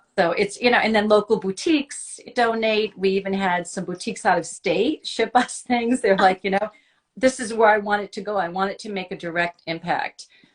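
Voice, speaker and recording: A woman with an ordinary speaking voice talks at a medium pitch and a fairly quick pace, with ordinary pitch variation and a dry, close sound with no echo. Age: 60s. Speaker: nonprofit founder and fashion blogger. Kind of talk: casual interview chat.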